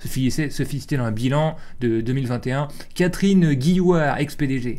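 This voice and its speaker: Heard with audible room echo, a man speaks at a fairly high pitch with ordinary pitch variation. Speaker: streamer and show host. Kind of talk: reading aloud news articles with commentary. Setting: live stream. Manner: fast; casual, colloquial.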